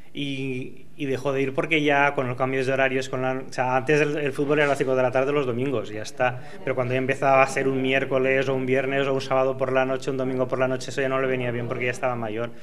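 The man's medium-pitched voice is monotone and flat, moving at a very fast pace. Light background noise sits behind him. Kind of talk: interview answer. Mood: warm, reminiscing. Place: hall. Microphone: handheld.

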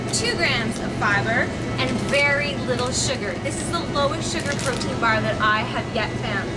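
A woman speaks at a fairly slow pace. Loud background noise fills the recording. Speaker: presenter. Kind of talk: product review chat. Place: shop. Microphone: camera far.

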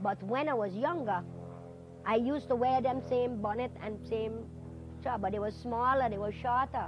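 A woman's fairly high voice at a moderate pace with ordinary pitch variation, dry with no echo, faint music behind. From U.S. Virgin Islands. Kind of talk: oral history interview answer. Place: home room. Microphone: lapel.

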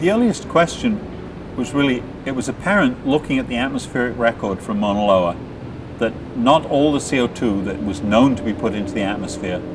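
A man delivers his words at a fairly quick pace while noticeable background noise carries on. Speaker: interviewee. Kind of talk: interview answer. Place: open country.

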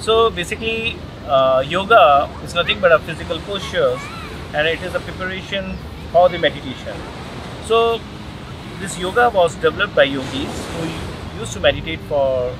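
With noticeable background noise but a dry sound with no echo, a high-voiced man talks at a moderate pace with big swings in loudness. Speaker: interview guest. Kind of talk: interview answer. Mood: calm, explanatory. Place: beach.

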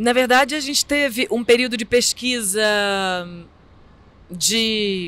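Very slowly, a woman speaks with a Brazilian accent and a fairly high pitch. Her tone is bright and sharp, and the sound is dry with no echo. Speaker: theatre artist; interviewee. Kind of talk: interview. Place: street. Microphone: handheld.

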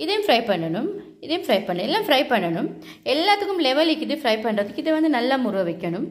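A high-pitched woman talks at a fast pace with big pitch swings.

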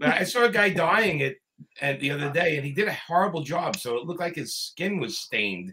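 A man talks at a moderate pace in a fairly high pitch, with lively intonation, a bright, sharp tone and a slightly husky edge.

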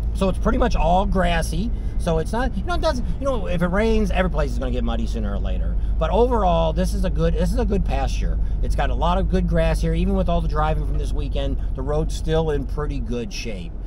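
Against noticeable background noise, a man talks with a very deep, low pitch in a dry recording with no echo. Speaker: vlog host. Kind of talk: casual vlog chat. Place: car. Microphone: camera far.

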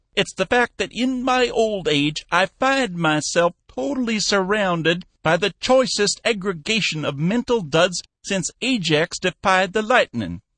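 In a put-on character voice, a man speaks shrill and high-pitched at a moderate pace, with lively intonation and hardly any pauses. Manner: shrill, complaining.

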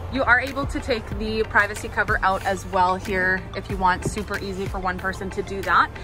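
Clear music plays in the background as a woman speaks. The sound is dry, with no echo. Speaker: car salesperson. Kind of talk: product walkaround presentation. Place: car. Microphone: phone near.

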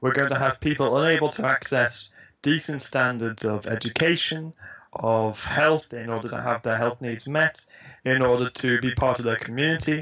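Against a quiet background, a man talks at a moderate pace. His intonation is fairly even. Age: 20s. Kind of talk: interview. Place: home room. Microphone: headset.

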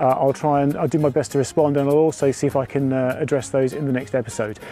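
Over faint music in the background, a man talks at a very fast pace, the sound dry with no echo. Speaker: DIY hobbyist vlogger. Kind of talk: casual vlog chat. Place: street.

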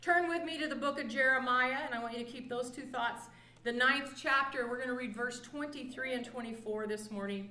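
At a moderate pace, a woman with a high pitch and ordinary pitch variation speaks amid audible room echo. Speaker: pastor. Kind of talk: sermon. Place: church. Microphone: camera far.

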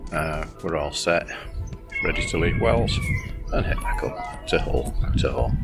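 A man speaks with clear music in the background. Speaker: boat owner vlogger. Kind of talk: casual vlog chat. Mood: relaxed, content. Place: boat. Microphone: phone near.

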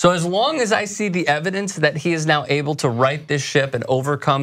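Lively intonation marks this man's fairly quick delivery. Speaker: sports show host. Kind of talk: commentary. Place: studio.

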